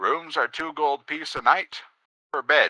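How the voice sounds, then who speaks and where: In a put-on character voice, a man speaks at a fairly slow pace, recorded dry and close with no echo. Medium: actual play.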